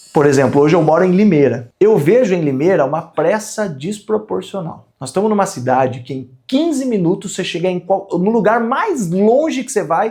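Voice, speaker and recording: Hardly pausing at all, a man speaks with a high pitch, a dark, mellow tone and very wide pitch swings. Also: moderate pace. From Brazil, interior of São Paulo state (Piracicaba). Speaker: entrepreneur and business content creator. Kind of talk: casual talk to camera about business. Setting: recording session with a film crew.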